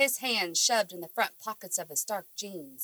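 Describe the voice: This clip is plain reading aloud, its pitch varying in an ordinary way.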